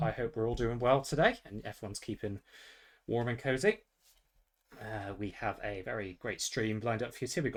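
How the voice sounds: A man uses a put-on character voice in a West Country accent, raspy and at medium pitch. He talks at a fairly quick pace with long, frequent pauses.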